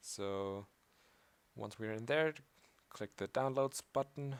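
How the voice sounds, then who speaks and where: This man talks fairly slowly at a medium pitch, with a slight German accent. His pitch varies in an ordinary way, and the sound is dry and close with no echo. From Austria. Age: young. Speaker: programming tutorial maker. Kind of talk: tutorial. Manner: casual, hesitant with fillers.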